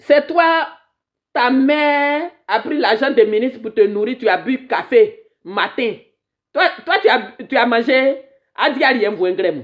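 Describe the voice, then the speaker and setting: Speaking at a very slow pace, a woman with a high voice moves through very wide pitch swings. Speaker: activist livestreamer. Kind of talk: live stream political commentary. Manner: animated.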